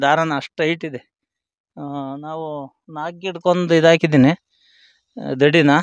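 A man in a normal speaking voice with fairly high pitch comes through dry, with no echo, over a quiet background. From Hassan district, Karnataka; Karnataka, India. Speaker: tomato farmer. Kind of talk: casual field interview. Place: farm. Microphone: handheld.

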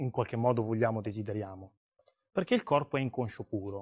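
A man talks in an animated tone. The background is quiet. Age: 40s. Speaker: seminar speaker; speaker. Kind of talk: seminar talk. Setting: stage with audience. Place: hall. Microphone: lapel.

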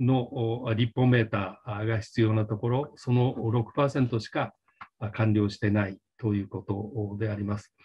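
A man speaks at a moderate pace with a fairly low, somewhat breathy voice. His intonation is fairly even, and the background is quiet. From Japan. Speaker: policy council chair. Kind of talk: panel presentation. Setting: video call. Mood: formal, polite, measured. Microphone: video call.

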